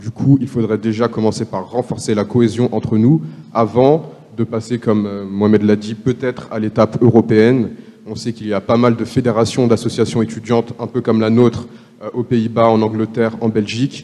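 A man speaks in an unremarkable speaking voice at medium pitch. His pace is moderate and his intonation fairly even. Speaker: law student, association vice-president. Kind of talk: panel discussion.

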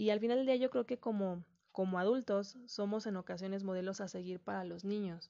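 In a plain, everyday voice, a woman talks at a fairly quick pace, her medium pitch held in fairly even intonation. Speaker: podcast host. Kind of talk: solo reflective monologue.

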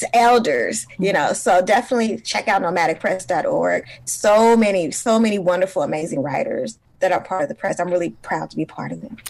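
With an American accent, a woman with an unremarkable speaking voice talks at a medium pitch with lively intonation and hardly any pauses. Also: fairly quick pace. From US West Coast, East Oakland, California. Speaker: journalist and author. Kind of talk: interview conversation. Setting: studio.

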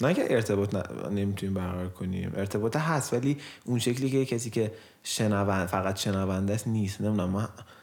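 With a fairly low pitch and ordinary pitch variation, a man talks very fast. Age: 20s. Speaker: podcast co-host and musician. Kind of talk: casual chat.

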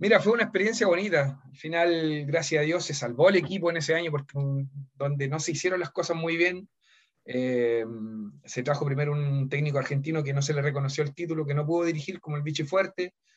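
Somewhat breathy male voice, fairly high in pitch, at a fairly quick pace with ordinary pitch variation against a quiet background. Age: 40s. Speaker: former footballer and football coach. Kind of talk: interview. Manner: halting.

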